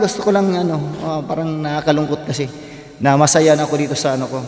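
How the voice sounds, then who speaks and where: With noticeable background noise behind him, a man talks fairly quickly in a fairly high pitch. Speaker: vlogger and amateur singer. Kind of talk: casual gear tour vlog. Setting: bedroom home studio.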